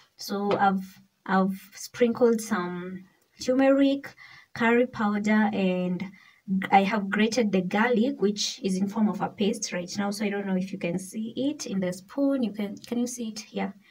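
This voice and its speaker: A somewhat breathy woman at a fairly slow pace, with ordinary pitch variation. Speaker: cooking vlogger. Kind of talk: casual vlog chat. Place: kitchen. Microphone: phone near.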